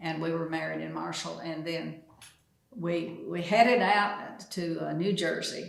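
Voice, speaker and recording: A woman talks in an East Texas accent at a fairly slow pace. Audible room echo surrounds her voice. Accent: East Texas Southern. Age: 90s. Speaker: retired postmaster. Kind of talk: casual interview. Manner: halting.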